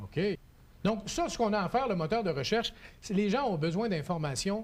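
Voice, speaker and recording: Lively intonation runs through a man's high-pitched voice. He talks at a fairly quick pace. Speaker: TV show host. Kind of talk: TV tutorial interview.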